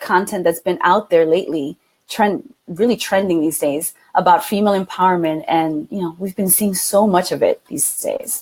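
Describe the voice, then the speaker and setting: A woman speaks at a moderate pace with hardly any pauses. Her medium pitch shows ordinary pitch variation. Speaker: live stream co-host, women's coach. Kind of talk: casual live stream talk. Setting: live video broadcast. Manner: animated.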